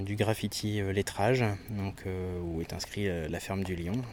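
The man speaks with fairly even intonation. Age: 30s. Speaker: graffiti artist. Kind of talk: interview.

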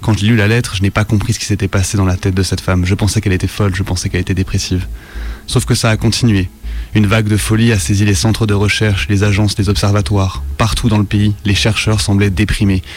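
Music plays in the background as a man talks at a very fast pace. His loudness stays very even. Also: fairly low pitch for a man, fairly even intonation. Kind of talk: horror creepypasta narration in the voice of a researcher. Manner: grave, measured, ominous, with a haunted and shaken tone.

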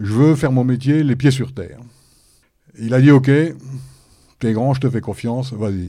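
The voice has a dark, mellow tone and ordinary pitch variation. It keeps a moderate pace with long, frequent pauses. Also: man, medium pitch for a man. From France, Haute-Marne. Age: 50s. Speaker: quality manager. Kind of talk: panel discussion. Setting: studio with audience.

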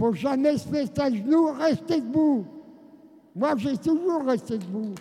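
A man talks very slowly at an extremely high pitch, with lively intonation. Noticeable background noise is present. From France, Seine-et-Marne. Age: 90s. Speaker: genocide survivor and former resistance fighter. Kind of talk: testimony.

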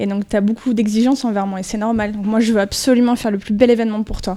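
Very fast and monotone, a woman talks with flat intonation, a fairly high pitch and a dark, mellow tone. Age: 30s. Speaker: sports club event project manager. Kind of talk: interview answers to school pupils.

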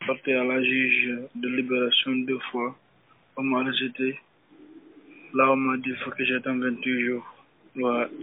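A man speaks very slowly at a medium pitch with monotone, flat intonation and long, frequent pauses. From Guinea. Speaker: detainee in immigration detention centre. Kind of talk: phone interview. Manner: halting.

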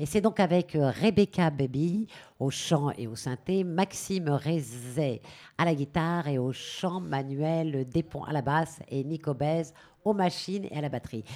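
A woman speaks at a very slow pace. Her voice is very deep and low, with a dark, mellow tone. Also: ordinary pitch variation. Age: 50s. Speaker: actress and stage director. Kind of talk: radio interview.

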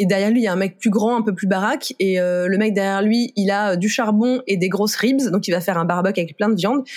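At a fairly quick pace, a woman talks with hardly any pauses and very even loudness. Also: medium pitch for a woman, ordinary pitch variation. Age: 30s. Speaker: author of a book on food and sexism. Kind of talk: podcast interview. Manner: casual, with frequent filler hesitations.

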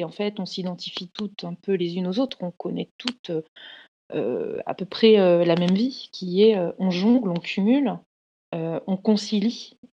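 With fairly even intonation, a woman's voice carries a dark, mellow tone. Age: 30s. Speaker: career coach and entrepreneur. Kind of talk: personal testimony. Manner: halting, many fillers and repetitions.

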